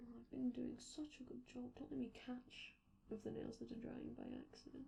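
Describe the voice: A woman uses a put-on character voice with a fairly high pitch, very wide pitch swings and vocal fry in a dark, mellow tone. She speaks at a fairly quick pace, and audible room echo surrounds her.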